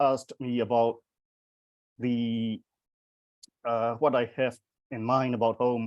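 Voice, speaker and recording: In a dry, close sound with no echo, a man with a Burmese accent speaks at a fairly slow pace. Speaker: poet. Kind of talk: panel discussion. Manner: halting.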